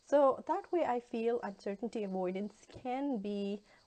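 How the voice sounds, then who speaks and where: A woman's dark, mellow tone with a Pakistani accent. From Pakistan, Lahore. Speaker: university instructor, guest lecturer. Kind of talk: guest lecture. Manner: hesitant, many fillers.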